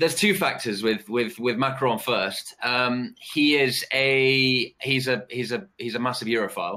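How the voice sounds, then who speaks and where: A man's medium-pitched voice with a bright, sharp tone, ordinary pitch variation and a fairly slow pace, on a very clean recording with a silent background. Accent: British. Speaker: geopolitical analyst. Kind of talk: live webcast panel discussion. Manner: halting, many fillers and repetitions.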